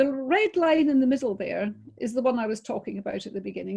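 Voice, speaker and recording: A woman with a Scottish accent has a dark, mellow tone. She speaks at a moderate pace with ordinary pitch variation. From Scotland. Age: 60s. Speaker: business coach, webinar presenter. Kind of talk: webinar talk. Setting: video call.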